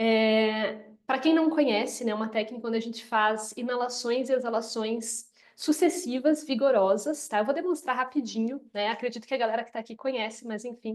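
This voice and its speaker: A woman with a Paraná accent speaks in an enthusiastic tone at a fairly high pitch, with ordinary pitch variation. Her pace is moderate with hardly any pauses. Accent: Paraná interior. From interior of Paraná, Brazil. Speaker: yoga teacher. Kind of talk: live webinar talk.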